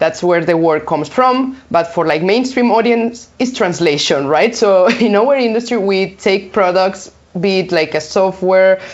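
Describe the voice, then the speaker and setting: Over noticeable background noise, a woman with a Spanish accent talks at a fairly slow pace with hardly any pauses, keeping a medium pitch, lively intonation and very even loudness. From Spain. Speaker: localization consultant. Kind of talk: interview.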